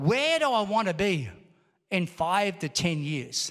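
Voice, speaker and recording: A high-pitched man talks at a fairly slow pace in an animated tone, recorded very cleanly against a silent background. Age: 60s. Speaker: pastor. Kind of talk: sermon, rousing Pentecostal church preaching with call-and-response. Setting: church service with congregation. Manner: animated, exhorting the congregation with repeated calls for amen; conversational, punchy rhetorical questions.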